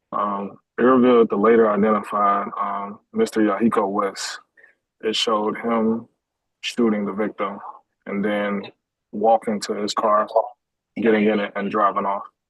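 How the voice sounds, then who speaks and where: A man talks at a fairly low pitch with monotone, flat intonation. His pace is moderate, broken by long, frequent pauses. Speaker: police detective. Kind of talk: witness testimony. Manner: hesitant, many fillers. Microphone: too quiet, far from device.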